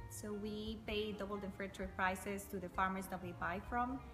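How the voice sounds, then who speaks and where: A woman with a Spanish accent at a moderate pace, with clear music in the background. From Costa Rica. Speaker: coffee company owner. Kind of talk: interview answer. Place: factory. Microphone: camera far.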